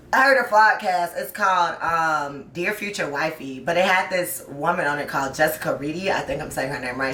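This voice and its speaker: A woman speaks in an animated tone, with audible room echo and noticeable background noise. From US South (south Georgia, Tennessee). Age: 20s. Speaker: podcast host and high school history teacher. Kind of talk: casual chat. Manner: fast.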